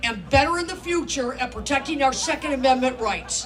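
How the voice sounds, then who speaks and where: High-pitched woman's voice with lively intonation, audible room echo and noticeable background noise. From Upper Peninsula of Michigan. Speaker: gun rights activist and author. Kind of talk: speech at a rally.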